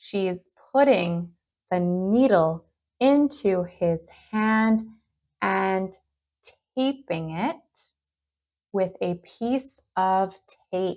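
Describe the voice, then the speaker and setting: A woman speaks at a very slow pace with long, frequent pauses. Her pitch is medium. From Canada. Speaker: English teacher. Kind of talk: slow English lesson narration for learners. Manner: slow, clear, repeating phrases.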